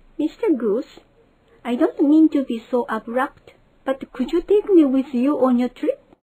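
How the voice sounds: At a moderate pace, a woman uses a cartoonish character voice with a high pitch.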